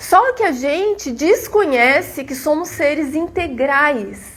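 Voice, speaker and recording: Pitched high, the female speaker's voice swings very widely up and down. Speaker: spiritist lecturer. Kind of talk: lecture.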